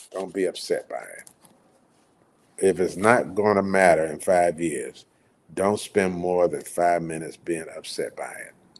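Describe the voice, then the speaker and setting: The speech moves at a fairly slow pace, with big swings in loudness. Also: man. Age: 60s. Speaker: community event organizer and livestream host. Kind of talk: casual livestream talk. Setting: solo livestream with virtual background. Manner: hesitant, with fillers.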